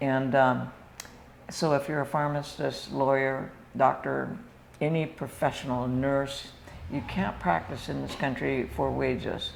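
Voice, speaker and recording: With audible room echo around the voice, the speech comes at a fairly slow pace in an American accent. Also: woman. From US Northwest (Washington state). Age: 70s. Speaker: retired nurse and missionary. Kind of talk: interview.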